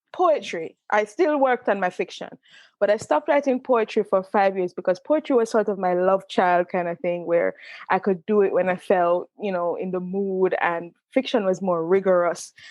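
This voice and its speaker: A woman talks in a strong Jamaican accent at a medium pitch. Her pace is moderate, with ordinary pitch variation. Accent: pronounced Jamaican. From Jamaica, Saint Catherine. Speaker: author and creative writing professor. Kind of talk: interview conversation.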